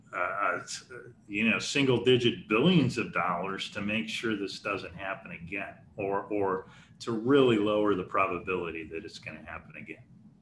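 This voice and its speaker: With audible room echo, a man talks at a fairly low pitch, his loudness swinging widely. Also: ordinary pitch variation, moderate pace. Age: 60s. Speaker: research institute president and chemist. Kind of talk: lecture Q&A. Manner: halting with frequent repetitions.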